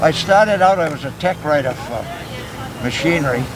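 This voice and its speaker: A man talks with a Maine accent and ordinary pitch variation. Noticeable background noise and audible room echo are present. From Maine, Lisbon Falls. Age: 80s+. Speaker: war veteran. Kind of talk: interview.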